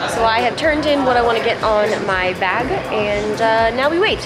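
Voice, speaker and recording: A woman talks while music plays behind her. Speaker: vlogger. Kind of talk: casual vlog chat. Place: hall. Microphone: phone near.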